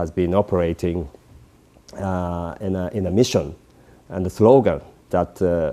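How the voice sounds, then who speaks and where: This man has a very deep, low pitch and a dark, mellow tone, with ordinary pitch variation. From Japan. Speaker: peace activist. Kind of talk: interview. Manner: halting.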